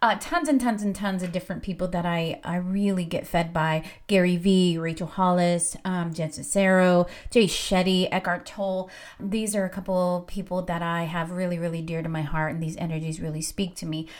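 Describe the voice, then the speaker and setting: A woman speaks at a moderate pace in a fairly low pitch, captured on a very clean recording with a silent background. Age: 40s. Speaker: spiritual podcast host. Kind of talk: casual monologue. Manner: animated.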